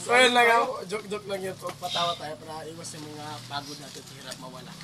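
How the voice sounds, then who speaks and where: A man speaks very fast in a raised, projected voice with a high pitch and lively intonation. Noticeable background noise is present. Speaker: adventure vlogger, rescue team member. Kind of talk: casual group video outro with shoutouts. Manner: loud.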